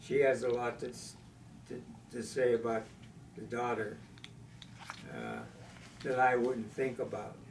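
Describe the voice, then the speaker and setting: Very slow male speech with long, frequent pauses and big swings in loudness, over noticeable background noise. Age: 80s+. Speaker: war veteran. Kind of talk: interview answer.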